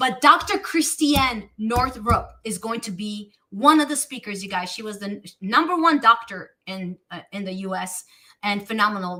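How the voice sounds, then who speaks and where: A woman with a fairly high pitch talks in a bright, sharp, animated tone. Her intonation is lively, and her loudness swings widely. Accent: Romanian. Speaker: talk show host. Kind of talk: casual chat. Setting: live stream.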